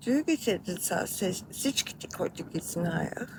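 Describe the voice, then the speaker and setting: Over noticeable background noise, a woman with an Australian accent speaks at a very slow pace. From Australia, Melbourne. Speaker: video creator. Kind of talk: personal memoir narration.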